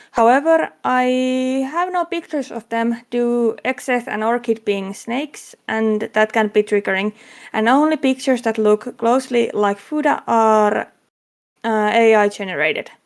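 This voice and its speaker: Marked by a strong non-native accent, a woman speaks at a fairly slow pace and fairly high pitch with ordinary pitch variation. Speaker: convention panel host. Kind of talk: convention panel presentation. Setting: online convention panel streamed as a VTuber. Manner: halting, with fillers.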